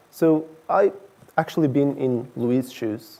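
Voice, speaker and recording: A man's fairly high voice in a Portuguese accent, dark and mellow in tone. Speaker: director of engineering. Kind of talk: conference talk.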